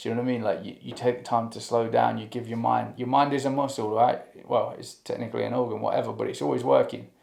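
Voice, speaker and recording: A man's speech comes with audible room echo. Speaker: music reaction youtuber. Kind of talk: casual reaction commentary. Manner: fast; rambling, hesitant with fillers.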